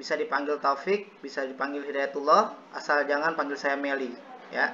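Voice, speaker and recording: Noticeable background noise runs under the recording. A man talks at a fairly quick pace in a fairly high voice. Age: 20s. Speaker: university student doing peer teaching, acting as teacher. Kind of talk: classroom lesson roleplay. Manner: casual, joking.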